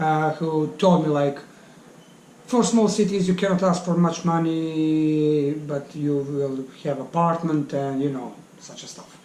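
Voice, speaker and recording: A man with a Serbian accent, fairly high pitch and fairly even intonation at a fairly slow pace, with audible room echo and noticeable background noise. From Bosnia (Bosnian Serb). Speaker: English teacher. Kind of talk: interview. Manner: halting.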